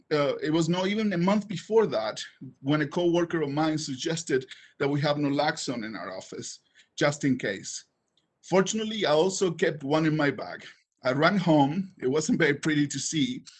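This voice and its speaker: With a strong non-native accent, a man with a fairly high pitch speaks at a moderate pace. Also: ordinary pitch variation. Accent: heavy foreign. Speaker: council vacancy applicant. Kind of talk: public speech. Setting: online public meeting. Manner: halting.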